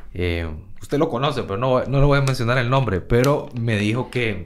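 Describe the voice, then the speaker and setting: Audible room echo around a man's medium-pitched voice, with ordinary pitch variation at a moderate pace. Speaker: podcast host, entrepreneur. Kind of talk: casual interview chat.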